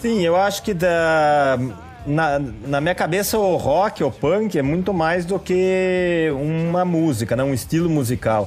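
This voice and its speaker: A man with a São Paulo interior accent speaks at a very slow pace and a high pitch. His loudness stays very even, and his pitch variation is ordinary. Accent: Piracicaba (interior São Paulo). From interior of São Paulo state, Brazil (Piracicaba). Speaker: brewmaster and drummer. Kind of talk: podcast interview.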